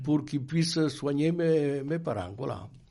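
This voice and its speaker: Audible room echo surrounds this man's voice. His tone is dark and mellow. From France, Dordogne (Périgord). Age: 80s+. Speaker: Resistance veteran. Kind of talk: oral history interview. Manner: halting, with frequent hesitations.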